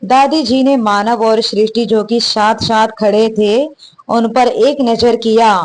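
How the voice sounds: The intonation stays fairly even in what is a natural reading voice.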